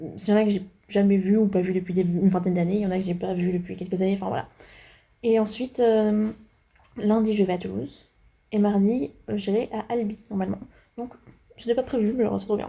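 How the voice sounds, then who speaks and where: A woman speaks at a fairly quick pace with a medium pitch and fairly even intonation, her voice somewhat breathy and broken by long, frequent pauses. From France. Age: 20s. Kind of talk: casual vlog talk to camera.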